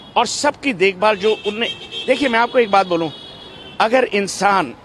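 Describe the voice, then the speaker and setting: Noticeable background noise sits under a man's high-pitched voice, which shows ordinary pitch variation. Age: 60s. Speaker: friend of a late businessman, interviewee. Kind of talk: media interview. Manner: halting, with frequent fillers.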